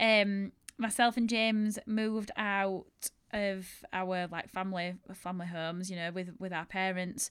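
A woman with a strong Yorkshire accent speaks at medium pitch in a monotone, flat way. The recording is very clean, with a silent background. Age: 30s. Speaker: bridal shop owner and podcast host. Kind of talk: casual solo storytelling monologue.

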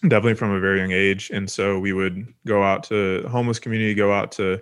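A man with an American accent talks at a moderate pace in a fairly low pitch, his intonation monotone and flat. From Texas. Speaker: nonprofit founder and podcast co-host. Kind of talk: faith-based interview conversation. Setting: video call.

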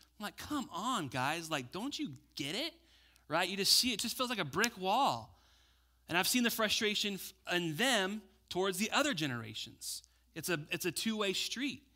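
A man with a high pitch speaks in a raised, projected voice at a moderate pace, his tone bright and sharp with very wide pitch swings. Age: 30s. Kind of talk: sermon. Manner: animated.

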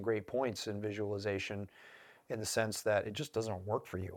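An unremarkable speaking voice from a man, fairly low in pitch, at a moderate pace, on a very clean recording with a silent background. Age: 40s. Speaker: podcast host, former Marine sniper instructor. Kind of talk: casual chat. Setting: studio.

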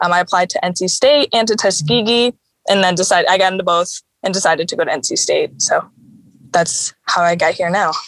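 A woman speaks at a fairly quick pace with an American accent, a medium pitch, ordinary pitch variation and an ordinary speaking voice, recorded with a dry, close sound and no echo. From Chicago. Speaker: veterinary student. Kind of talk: interview.

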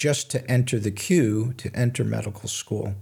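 A man's somewhat breathy, dark, mellow voice at medium pitch, with ordinary pitch variation and a moderate pace, on a very clean recording with a silent background. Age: 70s. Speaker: physician and author. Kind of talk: interview. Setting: studio. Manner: halting, many fillers.

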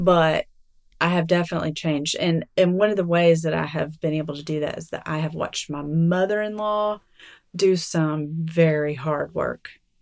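A Southern US accent at a moderate pace, fairly even intonation and big swings in loudness, on a very clean recording with a silent background. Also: woman, fairly low pitch for a woman. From Alabama. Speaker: writer and mother. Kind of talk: interview.

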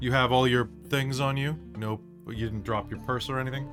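With clear music in the background, a man puts on a breathy, husky character voice at medium pitch and a moderate pace.

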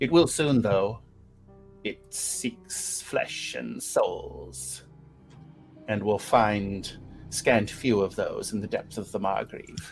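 A put-on character voice moves at a very slow pace with long, frequent pauses. Clear music plays in the background. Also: man. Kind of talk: game master character voice. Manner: cryptic, imperious, menacing.

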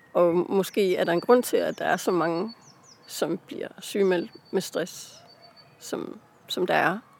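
Against noticeable background noise, a woman of medium pitch speaks at a very slow pace with ordinary pitch variation and long, frequent pauses. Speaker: author. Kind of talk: casual interview. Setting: outdoors in a park. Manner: hesitant, many fillers.

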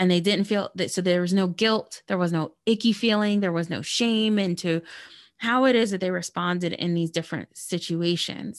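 Quiet background behind a woman at medium pitch for a woman, moving at a moderate pace. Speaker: holistic well-being consultant. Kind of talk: interview. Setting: remote call. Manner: animated.

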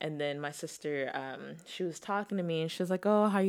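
A woman talks in an ordinary speaking voice, fairly low in pitch, at a fairly quick pace with fairly even intonation. The recording is very clean, with a silent background. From Texas, born in Zimbabwe. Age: 20s. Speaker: newlywed wife. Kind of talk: casual chat.

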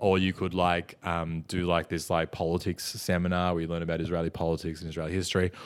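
A man's very deep, low voice with an Australian accent, very fast and monotone, flat in intonation, with hardly any pauses and a very clean recording with a silent background. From Melbourne, Australia. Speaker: stand-up comedian. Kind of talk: casual chat.

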